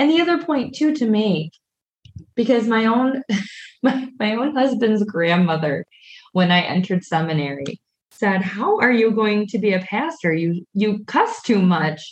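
A woman's fairly high, somewhat breathy voice at a moderate pace, with very wide pitch swings and very even loudness. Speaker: pastor and podcast co-host. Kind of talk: casual podcast conversation.

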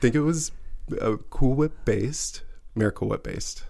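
This is a man talking with a Midwestern American accent. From US Midwest, rural Missouri near Kansas City. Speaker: former cheesemaker. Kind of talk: casual chat. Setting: studio.

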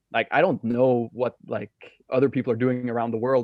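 With a Danish accent, a man talks at a fairly quick pace and medium pitch. His intonation is monotone and flat. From Denmark, west coast of Jutland. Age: 20s. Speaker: professional paddleboarder. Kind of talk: casual chat.

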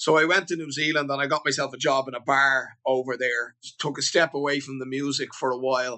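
In a Dublin accent, a man with a fairly high pitch speaks at a moderate pace with monotone, flat intonation. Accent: Dublin Irish. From Ireland, Dublin (Beaumont). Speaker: singer-songwriter. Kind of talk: casual interview.

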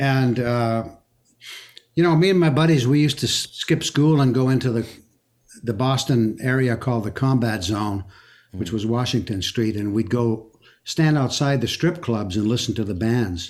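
A man talks at a medium pitch. His pace is moderate and his pitch variation ordinary. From Quebec, Canada. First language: French. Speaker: singer-songwriter and guitarist. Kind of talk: casual interview. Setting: remote call from Memphis.

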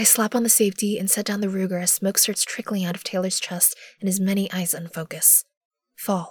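The voice simply reads aloud in a plain way. Nothing else can be heard behind it.

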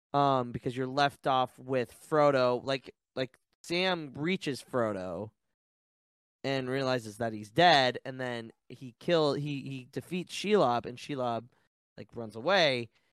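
An ordinary speaking voice moves at a fairly slow pace with ordinary pitch variation and big swings in loudness, in a dry, close sound with no echo. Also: man, medium pitch for a man. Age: 20s. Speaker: podcast co-host guest. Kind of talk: casual chat. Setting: video call.

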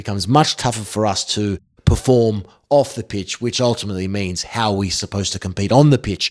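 A man with a slight Australian accent, fairly low pitch, and fairly quick pace, with big swings in loudness and a dry, close sound with no echo. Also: ordinary pitch variation. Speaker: football presenter. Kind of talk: interview.

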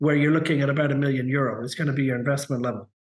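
A man speaks with audible room echo. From Canada. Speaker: immigration consultant. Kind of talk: interview. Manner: halting, many repeated words.

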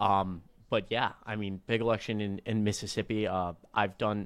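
The man's voice sits at a fairly low pitch. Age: 20s. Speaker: political podcast co-host. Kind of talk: casual political chat. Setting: video call. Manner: animated.

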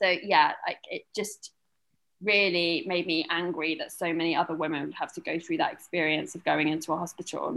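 A woman speaks with a British accent. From UK. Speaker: new mother, film publicist. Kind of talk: interview, birth story.

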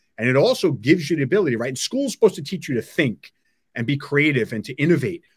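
A man with a New York accent, very fast and somewhat breathy, fairly high-pitched with lively intonation and big swings in loudness, in a dry, close sound with no echo. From Long Island, New York. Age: 50s. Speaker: technology entrepreneur. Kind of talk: interview.

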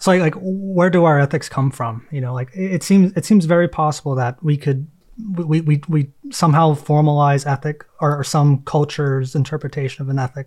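A somewhat breathy man at a fairly high pitch, with ordinary pitch variation and a moderate pace. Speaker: podcast host. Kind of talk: interview.

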